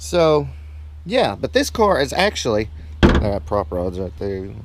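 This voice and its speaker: A man's pitch swings very widely as he speaks fairly slowly against noticeable background noise. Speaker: car YouTuber. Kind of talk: casual vlog to camera. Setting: home garage. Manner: quiet, keeping voice down.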